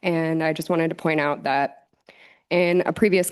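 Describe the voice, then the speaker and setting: At a moderate pace and against a quiet background, a woman with an American accent speaks in a shaky, nervous tone. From northern California, Colfax area. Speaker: public commenter at council meeting. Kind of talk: public comment. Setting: city council meeting. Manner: shaky, nervous delivery.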